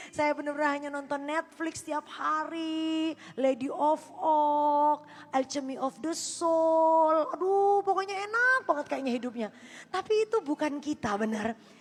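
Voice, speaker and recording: A woman speaks loudly, her pitch high. Her pace is fairly slow. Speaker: pastor. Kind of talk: sermon. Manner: animated.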